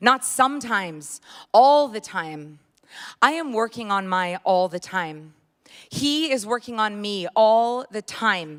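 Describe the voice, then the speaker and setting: Very slow, lively-intoned speech from a woman with a fairly high pitch and big swings in loudness, on a very clean recording with a silent background. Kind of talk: spoken word poetry performance. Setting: church.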